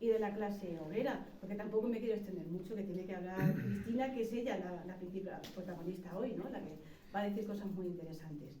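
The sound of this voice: A woman speaks at a medium pitch with ordinary pitch variation and a dark, mellow tone, and the room echo is audible.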